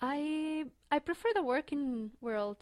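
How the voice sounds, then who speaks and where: Recorded very cleanly against a silent background, a woman with a Spanish accent speaks with fairly even intonation. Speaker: graduate student. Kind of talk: interview. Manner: halting.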